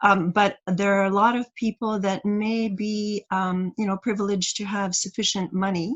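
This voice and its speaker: A woman's somewhat breathy, medium-pitched voice with fairly even intonation. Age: 60s. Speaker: community farm organizer. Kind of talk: online workshop presentation. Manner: halting, many fillers.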